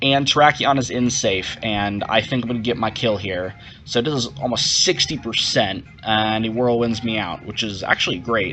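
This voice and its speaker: A man speaks at a medium pitch with ordinary pitch variation. He barely pauses, and there is noticeable background noise. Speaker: gaming youtuber, competitive player. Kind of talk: live gameplay commentary. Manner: fast.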